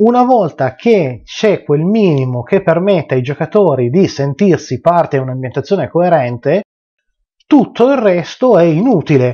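The man keeps a moderate pace against a quiet background. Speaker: tabletop RPG game master, video channel host. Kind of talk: unscripted video rant about game mastering. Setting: home video recording, addressing viewers. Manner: unscripted, rambling, impassioned, forceful and exasperated. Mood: passionate, mildly annoyed rant. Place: home room.

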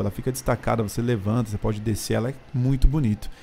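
A man's dark, mellow voice at a very fast pace, with fairly even intonation. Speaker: car reviewer. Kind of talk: car walkaround commentary. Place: garage. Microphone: phone near.

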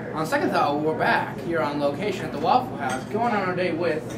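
The man talks fairly quickly while loud noise fills the background. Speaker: mock TV show host. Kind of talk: comedy sketch host patter. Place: street. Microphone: handheld.

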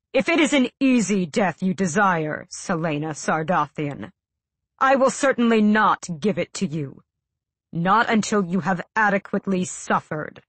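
Growling put-on character voice from a woman, medium pitch, lively intonation, moderate pace. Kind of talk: audiobook dialogue. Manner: cold, menacing.

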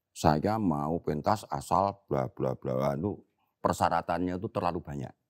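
A man speaks with vocal fry. The background is quiet. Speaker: veteran theater actor and comedian; theatre actor, comedian guest. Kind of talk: casual interview chat. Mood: relaxed, reflective.

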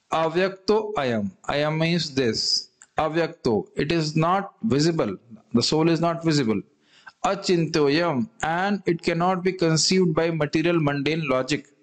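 A man talks fairly slowly, his pitch varying in an ordinary way, with a quiet background behind him. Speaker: scripture teacher. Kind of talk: lecture. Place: home room. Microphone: studio mic.

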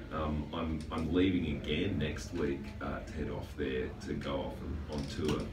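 With noticeable background noise behind him, a man speaks in a very deep, low voice. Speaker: guest. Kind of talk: interview answer. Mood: jokey, relaxed. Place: studio.

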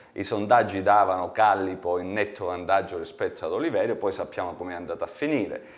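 A man at a very fast pace with hardly any pauses, over a quiet background. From Calabria, Italy. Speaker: regional politician. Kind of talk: TV interview. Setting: studio. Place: studio.

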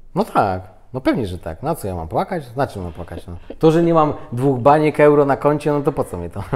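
In a very clean recording with a silent background, a man with a fairly high voice talks at a fairly quick pace, barely pausing, his pitch swinging very widely. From Poland. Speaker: interview guest. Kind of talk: casual interview chat. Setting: on camera.

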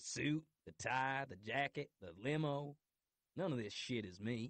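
A gruff, put-on character voice from a man at a moderate pace. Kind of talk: romance audiobook narration. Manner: gruff, blunt, nervous.

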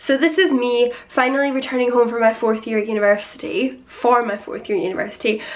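With a Scottish accent, a woman rattles along at a very fast pace in a high voice, with ordinary pitch variation and hardly any pauses. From Scotland. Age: 20s. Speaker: vlogger. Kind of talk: casual talk to camera. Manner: upbeat. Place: home room. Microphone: phone near.

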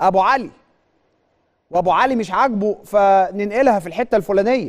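This man's voice is high-pitched, with an Egyptian accent and an animated tone. He speaks at a fairly slow pace with ordinary pitch variation against a quiet background. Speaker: sports TV host. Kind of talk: studio monologue, impassioned commentary. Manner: animated, emphatic. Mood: indignant, complaining of injustice. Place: studio. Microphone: lapel.

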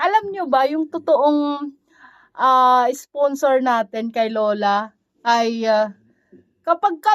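A woman speaks with an animated tone. Her intonation is lively. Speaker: vlogger caring for an elderly woman. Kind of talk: casual vlog talk to camera. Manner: animated, frequent laughing.

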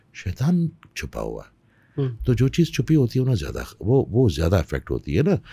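A man's fairly low, dark, mellow voice with vocal fry, very wide pitch swings, big swings in loudness and a moderate pace. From Pakistan, Peshawar; Pakistan. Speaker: spiritual healer; podcast guest. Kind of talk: interview. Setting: studio. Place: studio. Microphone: studio mic.

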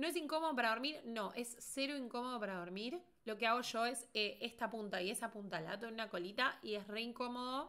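Speaking at a fairly quick pace in a Rioplatense accent, a woman uses a bright, sharp tone, her pitch fairly high with ordinary variation. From Argentina. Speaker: beauty content creator. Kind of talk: casual livestream commentary. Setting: livestream. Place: home room.

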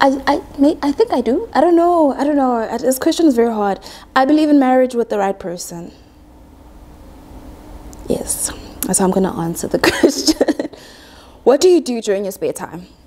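Her pitch is high and swings very widely as this woman speaks at a moderate pace. Long, frequent pauses break her speech, with light background noise behind it. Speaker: quantity surveyor, YouTuber. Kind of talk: casual talk to camera. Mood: playful, expressive. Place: home room. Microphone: lapel.

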